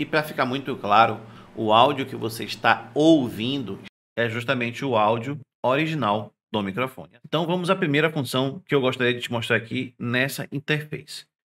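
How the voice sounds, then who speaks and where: Ordinary pitch variation runs through a tone that is bright and sharp. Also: man. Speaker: tech youtuber. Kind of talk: product review tutorial. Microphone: testing new condenser mic and interface; studio mic.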